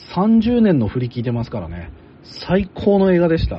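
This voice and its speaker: Very wide pitch swings from a man with a fairly high voice, delivered at a moderate pace. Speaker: podcast host and anime commentator. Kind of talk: casual discussion.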